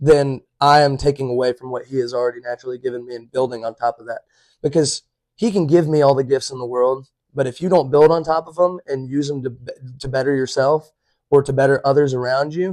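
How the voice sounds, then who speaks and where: A man's fairly high voice with fairly even intonation, in a dry, close sound with no echo. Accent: Alabama. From Alabama, Chelsea. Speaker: college baseball player. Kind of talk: casual chat. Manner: loud.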